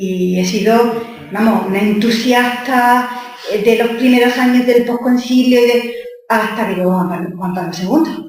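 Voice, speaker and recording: A woman with a fairly high pitch speaks at a fairly slow pace. Her pitch varies in an ordinary way, and the room echo is audible. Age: 60s. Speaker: theologian and nun. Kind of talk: talk Q&A.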